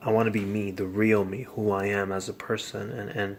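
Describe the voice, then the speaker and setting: A man's fairly low voice holds a fairly even intonation as he talks at a moderate speed. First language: Spanish. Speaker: vlogger. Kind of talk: casual monologue. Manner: halting.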